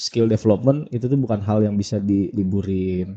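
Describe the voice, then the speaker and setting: Against a quiet background, a man with a Padang accent talks at a fairly quick pace in a dark, mellow tone with fairly even intonation. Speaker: basketball skills trainer. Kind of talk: podcast interview. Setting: studio.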